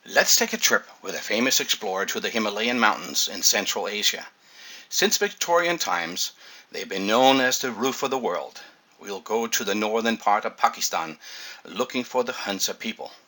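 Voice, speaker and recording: The pace of speech is moderate. Background noise can be clearly heard throughout. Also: man. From Denmark. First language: Danish. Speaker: water ionizer salesman. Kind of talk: scripted narration.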